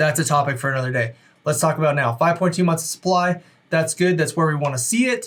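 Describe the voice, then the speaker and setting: Man at a very fast pace, with very even loudness. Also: fairly high pitch for a man, ordinary pitch variation. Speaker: real estate agent. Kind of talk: market update video. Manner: casual, conversational.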